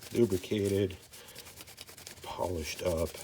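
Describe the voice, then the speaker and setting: A man is speaking over noticeable background noise. His pitch varies in an ordinary way. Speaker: firearms channel host. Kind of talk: instructional firearm cleaning talk to camera. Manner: calm, measured, soft-spoken.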